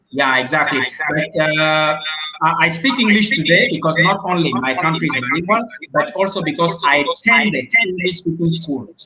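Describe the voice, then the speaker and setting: Over noticeable background noise, a man talks at a fairly high pitch and a moderate pace with ordinary pitch variation. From Cameroon. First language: French. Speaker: international student. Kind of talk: live stream Q&A interview. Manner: emphatic.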